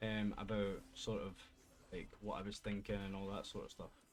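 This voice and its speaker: At a fairly slow pace, a man speaks in a fairly low voice. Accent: Scottish. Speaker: gaming streamer. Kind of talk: casual talk to camera.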